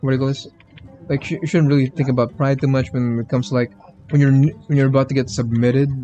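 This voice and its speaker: Over background music, a man with a non-native accent talks very fast at a medium pitch with fairly even intonation. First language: not English. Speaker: gaming streamer. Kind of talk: casual livestream chat. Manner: halting, many fillers and restarts.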